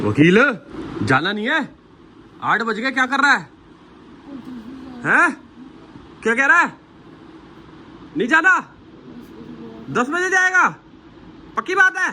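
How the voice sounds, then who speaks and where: A man's raised, projected voice at an extremely high pitch, with very wide pitch swings, a playful tone, long, frequent pauses and noticeable background noise. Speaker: vlogger. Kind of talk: casual vlog chat. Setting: in a car. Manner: loud; playful, joking.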